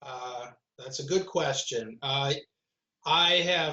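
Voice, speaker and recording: In an American accent, the speaker talks at a very slow pace with ordinary pitch variation. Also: man. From Detroit, Michigan, US Midwest. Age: 60s. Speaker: artist and activist. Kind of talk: conversation interview.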